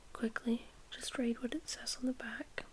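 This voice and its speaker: A woman whispers over noticeable background noise. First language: not English. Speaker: ASMR creator. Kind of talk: ASMR reading aloud. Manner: soft-spoken.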